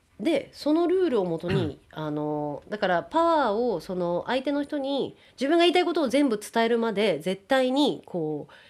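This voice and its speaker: With hardly any pauses, a woman speaks at a moderate pace in a fairly high pitch with very wide pitch swings, recorded very cleanly against a silent background. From Japan (Kawagoe, Saitama), partly raised in the US. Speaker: actor and freelance announcer. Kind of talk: interview.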